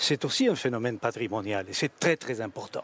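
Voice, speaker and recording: The man's intonation is lively. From Spain. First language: Spanish (speaking French). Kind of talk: radio debate. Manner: halting, many repetitions.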